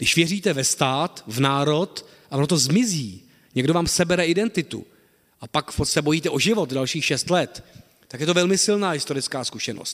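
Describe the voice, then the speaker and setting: In an ordinary speaking voice, a man with a fairly high pitch talks at a moderate pace with lively intonation. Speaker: historian, associate professor of modern Czech history. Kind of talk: lecture. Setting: lecture hall with audience.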